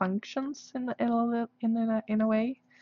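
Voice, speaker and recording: A woman with a Swedish accent speaks at a fairly slow pace. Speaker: artist livestreamer. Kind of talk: casual livestream chat. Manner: halting, many fillers.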